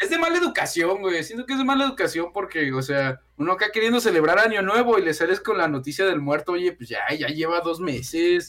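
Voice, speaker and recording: Amid noticeable background noise, a man talks at a fairly quick pace in a high pitch, with lively intonation and hardly any pauses. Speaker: music YouTuber. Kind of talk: casual chat.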